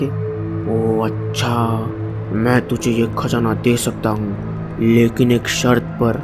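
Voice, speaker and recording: Over loud background music, a man speaks very slowly in a cartoonish character voice. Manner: menacing.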